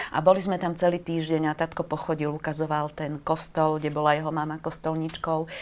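A woman with a very deep, low pitch talks at a fairly quick pace with hardly any pauses and monotone, flat intonation, in a very clean recording with a silent background. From eastern Slovakia, Košice. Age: 50s. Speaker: writer. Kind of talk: casual chat. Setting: studio.

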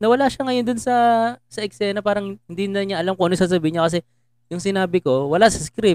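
Dry and close with no echo, a man with a high pitch talks at a very fast pace with ordinary pitch variation. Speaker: podcast host and stand-up comedian. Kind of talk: casual chat.

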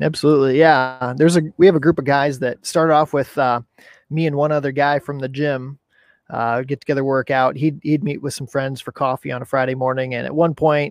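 In a plain, everyday voice, a man speaks fairly quickly, his pitch sitting fairly high. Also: dry, close sound with no echo. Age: 30s. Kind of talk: casual interview. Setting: video call, outdoors.

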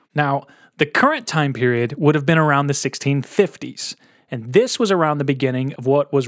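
A plain, everyday voice speaks with an American accent and ordinary pitch variation. The recording is very clean, with a silent background. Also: man, dry, close sound with no echo.

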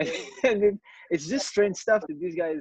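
The sound is close and dry, without any echo. Intonation rises and falls in a lively way. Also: man. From Morocco. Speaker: meeting participant. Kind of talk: group discussion. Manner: halting, repeats words.

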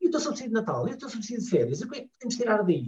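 A man talks at a very fast pace with a Lisbon accent. His pitch is high. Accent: European Portuguese, Lisbon. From Portugal, Lisbon. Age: 40s. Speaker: family travel blogger. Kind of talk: casual interview chat.

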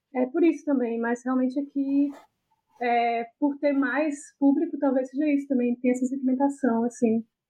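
The woman's voice is high, her intonation monotone and flat, her pace moderate. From Brazil, Fortaleza (Ceará). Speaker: podcast host. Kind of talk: casual chat.

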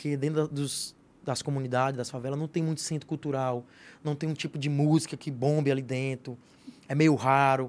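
A man with a fairly high pitch speaks at a moderate pace in a monotone with flat intonation. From Piauí, Northeast Brazil. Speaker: comedian. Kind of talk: casual chat.

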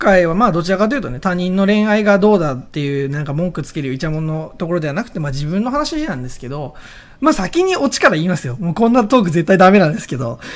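Over noticeable background noise, a man talks at a very fast pace in an animated tone. His high voice makes very wide pitch swings. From Oita, Japan. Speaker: podcast host. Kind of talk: casual solo talk.

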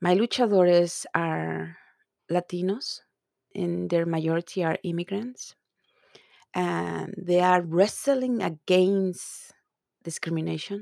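In a very clean recording with a silent background, dry and close with no echo, a woman speaks at a fairly low pitch in a dark, mellow tone, with ordinary pitch variation, at a very slow pace with long, frequent pauses. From Mexico City, Mexico. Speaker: photographer and multimedia artist. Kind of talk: interview conversation about her work.

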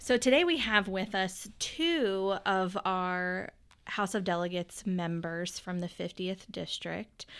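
Recorded very cleanly with a silent background, a woman with an Appalachian accent speaks at a very slow pace, with medium pitch and ordinary pitch variation. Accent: West Virginia (Appalachian) American. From West Virginia, Pendleton County. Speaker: podcast host, city planning employee. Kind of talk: casual interview; reading introductions.

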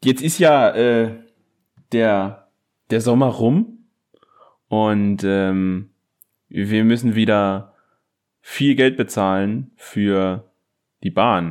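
The man's pitch is fairly low and his pace very slow. Long, frequent pauses break up his speech. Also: ordinary pitch variation. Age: 20s. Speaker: podcast co-host and teacher. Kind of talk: casual chat. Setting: remote recording.

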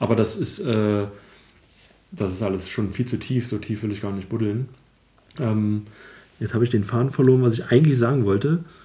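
A man's somewhat breathy, dark, mellow voice at medium pitch, moderate pace, ordinary pitch variation and long, frequent pauses. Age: 30s. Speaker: IT consultant, podcast host. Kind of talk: casual chat. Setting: home recording, sitting on the floor.

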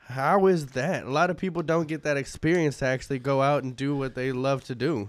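A man talks with hardly any pauses. The recording is very clean, with a silent background. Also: fairly high pitch for a man, ordinary pitch variation, fairly quick pace. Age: 20s. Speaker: podcast host. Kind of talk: casual chat. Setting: studio.

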